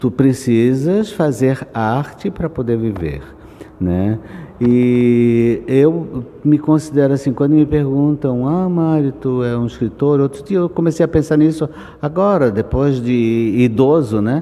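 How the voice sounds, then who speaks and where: This man speaks very slowly with a fairly high pitch. Noticeable background noise runs under his voice. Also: ordinary pitch variation. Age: 70s. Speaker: writer and artist. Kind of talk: interview. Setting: book fair.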